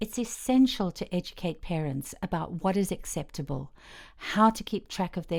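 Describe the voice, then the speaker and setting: Over a silent background in a very clean recording, a woman talks at a moderate pace. She has a plain, everyday voice of medium pitch with lively intonation. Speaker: voice-over narrator. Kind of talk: educational course narration.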